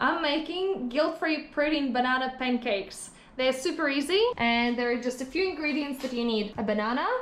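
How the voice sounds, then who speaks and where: There is audible room echo and noticeable background noise as a woman speaks in a high voice with hardly any pauses. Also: ordinary pitch variation, moderate pace. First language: Russian. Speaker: fitness vlogger, amateur bodybuilder. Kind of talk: vlog tutorial. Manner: halting, repeated takes.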